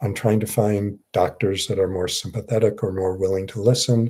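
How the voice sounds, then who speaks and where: With a fairly low pitch and a somewhat breathy sound, a man talks at a moderate pace in fairly even intonation. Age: 60s. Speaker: psychiatrist. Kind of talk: live Q&A. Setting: livestream. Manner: halting.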